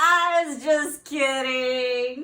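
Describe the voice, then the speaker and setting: A woman does a put-on character voice, pitched high. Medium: read story.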